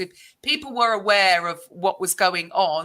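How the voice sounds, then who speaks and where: Bright and sharp in tone, a woman's medium-pitched voice moves with ordinary pitch variation in a very clean recording with a silent background. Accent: British. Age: 50s. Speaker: podcast host. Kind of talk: interview conversation.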